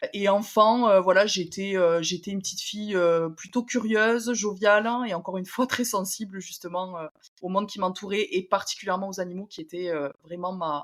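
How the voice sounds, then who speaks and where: A woman with an unremarkable speaking voice and a medium pitch, her loudness swinging widely from moment to moment. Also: fairly even intonation, moderate pace. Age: 20s. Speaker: podcast guest. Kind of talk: personal testimony interview. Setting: at home, remote interview.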